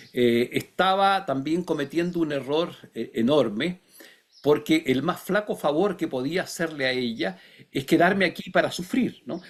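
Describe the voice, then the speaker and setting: Recorded very cleanly against a silent background, a man speaks in a fairly high voice at a fairly slow pace with lively intonation. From Chile. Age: 60s. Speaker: philosopher and writer. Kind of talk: interview. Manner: halting, many fillers; reflective.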